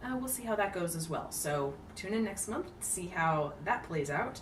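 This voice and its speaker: A woman talks at a moderate pace with audible room echo and noticeable background noise. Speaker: book video creator. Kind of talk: casual vlog. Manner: hesitant with fillers.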